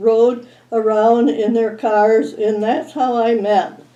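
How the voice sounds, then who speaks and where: A woman's fairly high voice in a dark, mellow tone, with an Upper Midwest accent and a very slow pace. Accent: Upper Midwest American. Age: 90s. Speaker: local elder sharing memories. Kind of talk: oral history recollection.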